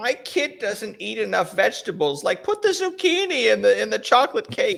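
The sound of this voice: A man's put-on character voice over light background noise. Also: moderate pace.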